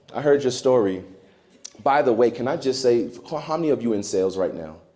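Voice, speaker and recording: A man with an American accent talks at a moderate pace and medium pitch, his pitch swinging very widely. His tone is dark and mellow, and there is audible room echo. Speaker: keynote speaker. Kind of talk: keynote speech. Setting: stage with audience. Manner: animated.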